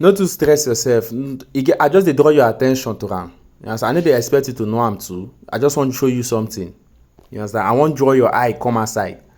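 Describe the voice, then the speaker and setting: A man speaks very fast with a Nigerian accent. His pitch is medium with ordinary variation. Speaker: forex trading mentor. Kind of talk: recorded tutoring session. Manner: patient, explanatory.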